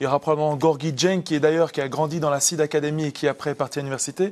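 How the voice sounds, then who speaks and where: Talking at a very fast pace, a man with a fairly high pitch keeps a flat, monotone intonation. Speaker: basketball expert and development coach. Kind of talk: TV interview. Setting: TV studio. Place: studio. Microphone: lapel.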